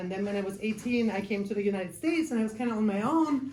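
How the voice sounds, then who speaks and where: A woman speaks with a German accent. Noticeable background noise and audible room echo fill the recording. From Germany. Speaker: case manager. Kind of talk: life skills class. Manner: casual, many filler ums.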